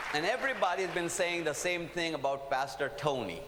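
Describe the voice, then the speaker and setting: Speaking at a fairly quick pace in an Indian accent, a man with a high pitch and an animated tone comes through amid noticeable background noise and audible room echo. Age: old. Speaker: preacher. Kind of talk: sermon. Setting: stage with audience.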